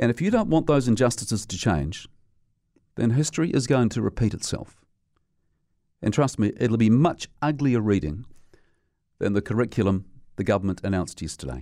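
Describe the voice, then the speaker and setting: A man with a New Zealand accent speaks at a medium pitch with vocal fry and lively intonation. He leaves long, frequent pauses. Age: middle-aged. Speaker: radio commentator. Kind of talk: opinion monologue. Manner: animated.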